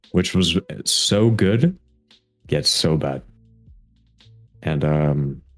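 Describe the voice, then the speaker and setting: Over background music, a man with a very deep, low pitch speaks at a very slow pace with ordinary pitch variation. He leaves long, frequent pauses. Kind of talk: casual podcast conversation.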